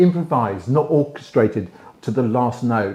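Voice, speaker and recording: Speaking with a British accent, a man takes a fairly slow pace. His intonation is lively. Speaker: relationship advice host. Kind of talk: advice monologue to camera. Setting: indoors, library.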